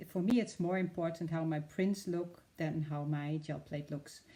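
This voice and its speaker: The voice has a dark, mellow tone and a Dutch accent. Its intonation is fairly even. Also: woman. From Netherlands. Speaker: art demonstrator. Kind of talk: live tutorial. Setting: live stream. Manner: hesitant, many fillers.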